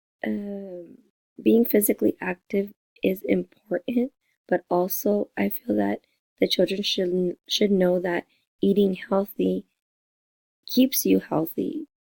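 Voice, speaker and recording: A woman speaks at a very slow pace with long, frequent pauses. The sound is dry and close, with no echo. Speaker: teacher presenting a lesson plan. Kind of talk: lesson plan presentation. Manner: halting, many fillers.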